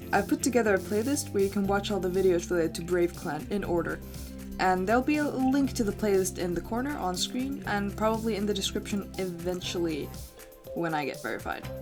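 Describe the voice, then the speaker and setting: The speech moves at a fairly quick pace. Music plays in the background. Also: woman. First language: not English. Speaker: YouTuber / artist. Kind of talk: casual game commentary narration. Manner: slight stutter at times.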